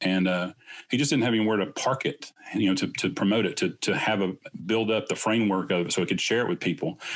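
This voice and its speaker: Speaking very fast, a man with an American accent has a fairly low pitch and ordinary pitch variation. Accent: Southern US, varies. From US South, Southeast Tennessee. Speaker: clinician and business co-founder. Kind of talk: casual interview.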